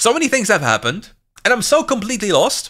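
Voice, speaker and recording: The speaker has a German accent and a raised, projected voice. The tone is bright and sharp, and the pace is fairly quick. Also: man. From Germany. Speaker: game commentator. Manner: fast talker, excitable.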